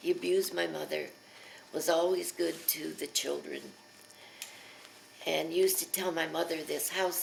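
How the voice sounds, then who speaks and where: Noticeable background noise runs under this recording. A woman speaks at a moderate pace. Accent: American. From Pennsylvania. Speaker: elderly mother telling her life story. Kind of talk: oral history interview. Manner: hesitant, with many fillers.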